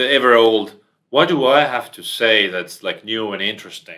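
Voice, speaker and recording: A man with a non-native accent speaks at a fairly low pitch. His pace is moderate. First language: not English. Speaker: entrepreneur. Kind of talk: podcast interview.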